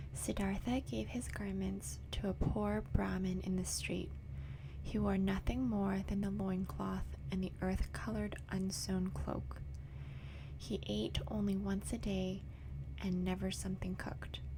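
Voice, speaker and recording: A soft-spoken voice with a calm, gentle tone talks at a fairly slow pace over noticeable background noise. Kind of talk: audiobook-style reading of a novel aloud, bedtime story. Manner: soft-spoken, calm, gentle; not whispered, soft but audible.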